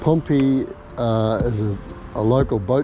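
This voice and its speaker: With music in the background, a man at a medium pitch speaks at a very slow pace. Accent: Australian. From Australia, Melbourne. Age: 70s. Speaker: vlogger. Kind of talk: casual vlog narration. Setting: outdoors on a bike. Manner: halting.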